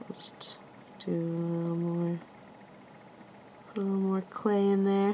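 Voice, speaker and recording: A woman speaks over light background noise. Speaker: crafter demonstrating clay relief. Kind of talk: tutorial. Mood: relaxed, laughs lightly.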